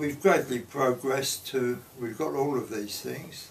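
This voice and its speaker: Audible room echo surrounds a man speaking with a London accent. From London, Paddington. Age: 90s. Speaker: grandparent sharing memories. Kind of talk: oral history interview.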